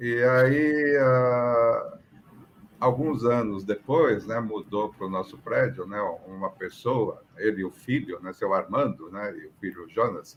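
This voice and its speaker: The pitch varies in an ordinary way. The pace is very slow. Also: man. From Brazil, São Paulo. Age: 60s. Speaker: aviation professional. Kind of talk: interview, personal story. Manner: conversational, many fillers.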